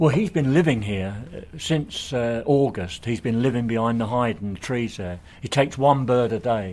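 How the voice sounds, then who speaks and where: Over a very clean recording with a silent background, a man with an English accent speaks at a moderate pace and medium pitch, his intonation lively. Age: 60s. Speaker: birdwatcher. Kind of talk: casual chat. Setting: outdoors.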